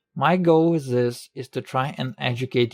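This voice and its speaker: A man with a non-native accent, dry and close with no echo, on a very clean recording with a silent background. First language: not English. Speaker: medical student, educational video maker. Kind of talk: educational video narration.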